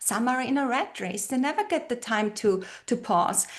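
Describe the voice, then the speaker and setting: This woman speaks with a German accent and a high pitch. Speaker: brand identity strategist and retreat leader. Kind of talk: podcast interview. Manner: hesitant, with many fillers and repeated words.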